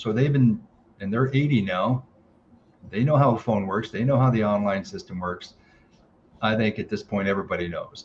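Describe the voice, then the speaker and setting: A man speaks at a moderate pace and a medium pitch, somewhat breathy, with ordinary pitch variation and long, frequent pauses. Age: 60s. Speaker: golf course operator. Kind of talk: interview. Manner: halting.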